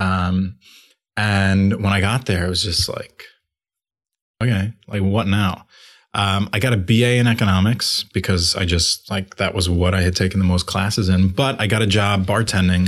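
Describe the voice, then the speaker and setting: On a very clean recording with a silent background, a man with an American accent uses an ordinary speaking voice, fairly low in pitch, with ordinary pitch variation and a moderate pace. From Long Island, New York. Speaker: coffee shop co-founder. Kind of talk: interview. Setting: studio.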